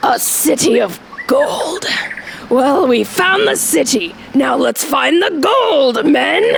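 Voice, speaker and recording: A put-on character voice speaks at a high pitch and a very slow pace. Background noise is clearly heard. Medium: audio drama.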